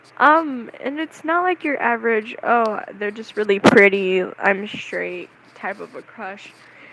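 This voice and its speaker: Over noticeable background noise, a woman talks at a fairly slow pace with hardly any pauses, her fairly high pitch swinging very widely and her loudness shifting in big swings. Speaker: vlogger. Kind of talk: casual monologue.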